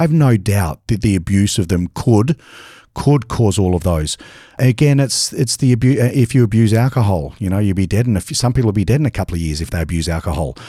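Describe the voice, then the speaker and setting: A man with a dark, mellow tone speaks at a very fast pace in an Australian accent, his intonation lively. The recording is very clean, with a silent background. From Australia (Adelaide). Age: 50s. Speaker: bodybuilder and supplement company founder. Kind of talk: interview.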